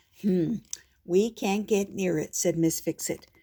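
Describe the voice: A plain read-aloud passage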